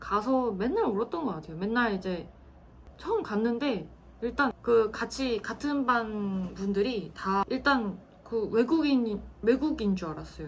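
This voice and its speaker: Lively intonation marks this woman's speech over noticeable background noise. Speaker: former military interpreter, office worker. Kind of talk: personal storytelling monologue. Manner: casual, with frequent fillers.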